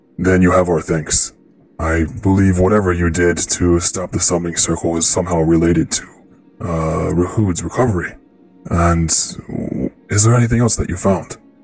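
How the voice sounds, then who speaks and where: In a put-on character voice, a man booms at a very deep, low pitch and a moderate pace, with long, frequent pauses and faint music in the background. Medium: actual play. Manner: formal, grave.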